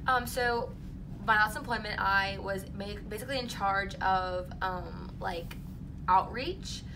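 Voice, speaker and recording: Noticeable background noise and audible room echo surround the recording. A woman speaks at a very slow pace. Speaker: job interview candidate (role-play). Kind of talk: mock job interview. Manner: loud, outgoing.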